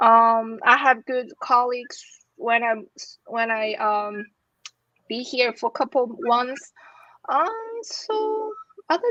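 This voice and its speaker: In a Chinese accent, a woman with a high pitch and a bright, sharp tone speaks at a very slow pace with lively intonation, the sound dry and close with no echo. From China. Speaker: academic with a doctorate. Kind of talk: interview. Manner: halting, repeats words.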